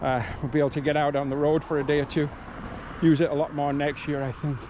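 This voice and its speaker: A man speaks at a very fast pace in a fairly high pitch with monotone, flat intonation. Noticeable background noise runs under his voice. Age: 60s. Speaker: hiking vlogger. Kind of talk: casual vlog narration while hiking. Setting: outdoors on trail.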